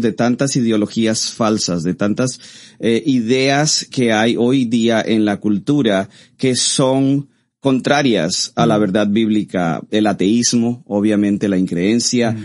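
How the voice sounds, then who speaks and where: Here is a man with a plain, everyday voice. His pitch is medium, varying in an ordinary way, and his pace is fairly slow. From Costa Rica. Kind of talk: interview.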